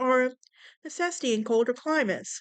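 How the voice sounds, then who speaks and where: An American accent with lively intonation at a moderate pace. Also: woman. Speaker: podcast host. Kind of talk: casual podcast monologue reading facts. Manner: casual, with fillers and stumbles.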